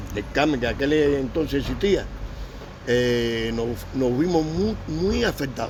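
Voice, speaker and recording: A man with a medium pitch speaks fairly slowly, with lively intonation and long, frequent pauses. Noticeable background noise and audible room echo surround him. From Cuba. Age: 70s. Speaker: Cuban war veteran. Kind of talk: interview. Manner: halting.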